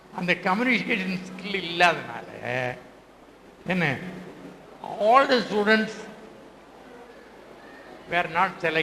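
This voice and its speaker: The man's raised, projected voice sits high in pitch, with noticeable background noise around it. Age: 80s+. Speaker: retired English teacher. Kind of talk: reunion speech to former students. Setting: public hall.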